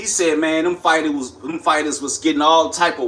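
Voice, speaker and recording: A man with an American accent, fairly high in pitch, at a moderate pace. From US Midwest, St. Louis, Missouri. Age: 30s. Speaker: livestreamer and former amateur boxer. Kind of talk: casual livestream chat. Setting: live stream. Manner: casual, rambling with fillers.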